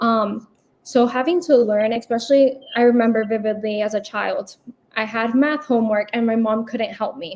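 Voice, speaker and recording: Here a woman talks at a moderate pace in a Spanish accent. Her pitch is fairly high, and her intonation is fairly even. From United States, Cuban and Puerto Rican family. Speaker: medical student. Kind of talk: interview.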